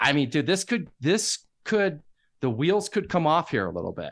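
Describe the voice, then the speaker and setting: A man speaks at a moderate pace with vocal fry and very wide pitch swings. The background is quiet. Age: 50s. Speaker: podcast contributor, sports fan. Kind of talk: casual sports chat. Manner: halting with repeated starts.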